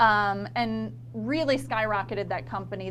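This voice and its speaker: Audible room echo surrounds a woman speaking with a slight country accent. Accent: slight country twang. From northern Florida, Lafayette County. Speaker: marketing consultant. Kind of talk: casual interview chat.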